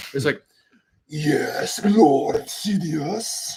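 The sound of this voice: Here a man performs a put-on character voice. It is pitched high.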